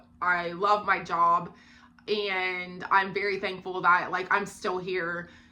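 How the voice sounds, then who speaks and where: Audible room echo surrounds a woman with an American accent and a bright, sharp tone. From Ohio. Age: 30s. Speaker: book vlogger. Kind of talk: casual chat.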